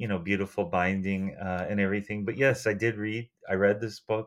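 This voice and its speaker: A normal speaking voice from a man with an American accent, fairly low in pitch, fairly even in intonation, at a moderate pace, in a very clean recording with a silent background. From United States. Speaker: book lover and longtime listener. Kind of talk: casual chat.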